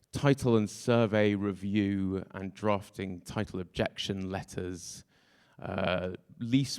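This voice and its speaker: British accent at a very slow pace, in a very clean recording with a silent background and a dry, close sound with no echo. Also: man. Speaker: tech startup co-founder. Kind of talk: conference talk.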